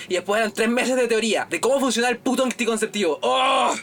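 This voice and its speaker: A man with a Chilean accent in an animated tone, against noticeable background noise. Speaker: podcast host, university student. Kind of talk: casual chat. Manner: animated, laughing.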